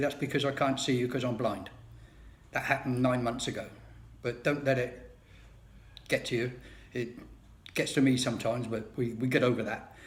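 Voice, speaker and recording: With audible room echo, a man with a British accent speaks in a somewhat breathy voice with fairly even intonation and long, frequent pauses. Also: medium pitch for a man, fairly quick pace. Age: 70s. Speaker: video blogger. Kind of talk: personal monologue. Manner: casual, wry.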